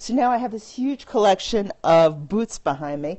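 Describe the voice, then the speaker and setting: A woman with a New York accent, an animated tone and lively intonation. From Brooklyn, New York. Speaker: fashion and style vlogger. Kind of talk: casual chat. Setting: live video stream on phone. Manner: chatty, animated.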